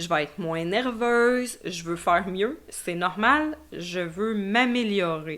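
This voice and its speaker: At a very slow pace and with hardly any pauses, a woman speaks with a Quebec accent. Her pitch is medium and her intonation lively. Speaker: podcast host. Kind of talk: solo podcast monologue.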